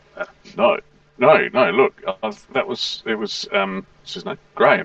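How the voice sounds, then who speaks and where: In a put-on character voice with big swings in loudness, a man speaks at a fairly slow pace and high pitch, the sound dry and close with no echo. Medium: actual play. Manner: flustered, stammering.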